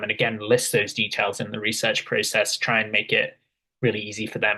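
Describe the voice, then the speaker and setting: At a moderate pace, a man speaks at a medium pitch with a bright, sharp tone. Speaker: workshop instructor. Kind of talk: tutorial. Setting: video call.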